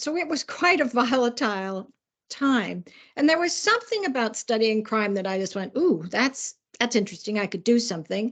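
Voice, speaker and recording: A woman with an American accent speaks in a plain, everyday voice at a fairly high pitch. Her pace is moderate, her intonation lively, and the background quiet. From US Midwest. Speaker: criminologist and policing adviser. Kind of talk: interview.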